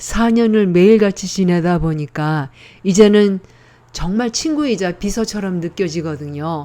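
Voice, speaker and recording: Her dark, mellow tone sits at a medium pitch as the woman speaks at a fairly slow pace with lively intonation. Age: 70s. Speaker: senior tech tutorial host. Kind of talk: casual tutorial talk to camera. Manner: friendly, conversational.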